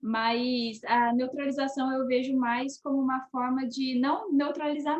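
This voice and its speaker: This woman speaks with a high pitch. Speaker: actress. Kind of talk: casual chat.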